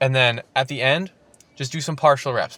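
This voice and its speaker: Speaking at a fairly quick pace, a man uses a medium pitch, ordinary pitch variation and a bright, sharp tone. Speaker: fitness vlogger. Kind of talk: unscripted voiceover narration of workout. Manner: halting, slight stutter; casual, off the cuff.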